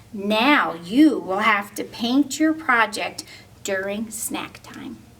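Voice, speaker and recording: A woman uses a put-on character voice with a fairly high pitch, speaking at a very slow pace. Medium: read story.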